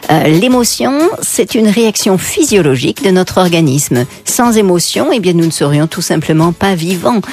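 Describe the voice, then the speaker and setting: A woman with a fairly low pitch and very wide pitch swings speaks at a fairly slow pace over noticeable background noise. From France, Paris. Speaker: psychotherapist and author. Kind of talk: radio interview.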